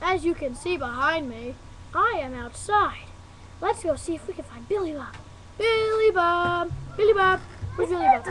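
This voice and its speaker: An extremely high-pitched cartoonish character voice over clear background noise. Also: moderate pace. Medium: puppet show. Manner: excited, playful.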